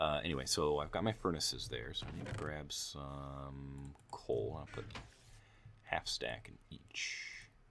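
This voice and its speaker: A man's voice at a fairly slow pace, with audible room echo. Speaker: gameplay youtuber. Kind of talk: casual gameplay commentary. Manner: hesitant, filler-heavy.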